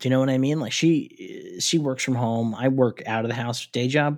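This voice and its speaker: A man with a normal speaking voice talks at medium pitch and a moderate pace on a very clean recording with a silent background. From New York City. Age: 40s. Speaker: podcast host. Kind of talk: casual chat.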